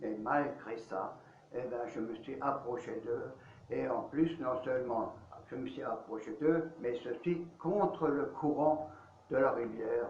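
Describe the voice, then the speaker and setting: Noticeable background noise and audible room echo surround a man speaking very slowly at medium pitch with ordinary pitch variation. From Alsace, France. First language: Alsatian (speaking French). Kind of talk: interview, life testimony. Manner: hesitant, many fillers.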